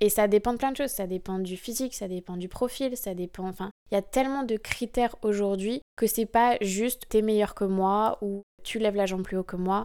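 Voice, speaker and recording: Her tone is dark and mellow, with fairly even intonation. The woman speaks at a medium pitch and a moderate pace. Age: 20s. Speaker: professional dancer. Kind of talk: interview.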